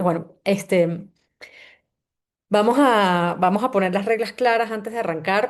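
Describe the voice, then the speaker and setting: Against a quiet background, a woman with a Venezuelan accent speaks at a moderate pace with ordinary pitch variation. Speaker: CEO of an organizational culture agency, book club host. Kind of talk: online book summary session. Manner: halting, with frequent fillers and repetitions.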